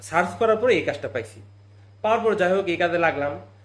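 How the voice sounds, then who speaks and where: A man speaks at a high pitch. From Bangladesh, Jamalpur district. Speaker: migrant worker vlogger. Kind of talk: vlog monologue.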